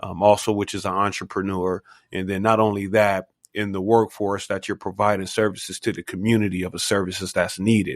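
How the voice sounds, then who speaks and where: With a very clean recording and silent background, a man in an ordinary speaking voice talks at a fairly quick pace and a fairly low pitch. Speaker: podcast host. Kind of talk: interview host talk. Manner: casual, upbeat.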